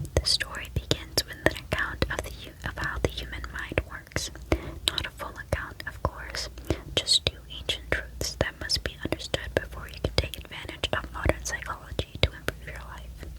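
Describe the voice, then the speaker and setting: A woman whispers at a moderate pace with big swings in loudness amid noticeable background noise. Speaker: ASMR content creator. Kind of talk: reading from a psychology book. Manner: whispered.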